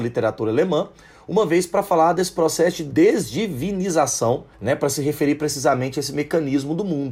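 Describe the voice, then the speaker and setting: The tone is dark and mellow, somewhat breathy. Intonation is lively. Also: man. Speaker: sociology teacher. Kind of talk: educational podcast lecture.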